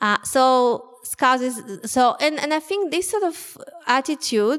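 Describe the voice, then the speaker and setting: A woman's high-pitched voice in a Russian accent, fairly slow, with ordinary pitch variation. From Soviet Union. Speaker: author. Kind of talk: public talk. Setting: stage with audience.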